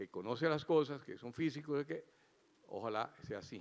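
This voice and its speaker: A man's ordinary speaking voice at medium pitch, moderate pace and ordinary pitch variation. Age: 60s. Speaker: cardiac surgeon giving opening remarks. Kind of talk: conference keynote speech.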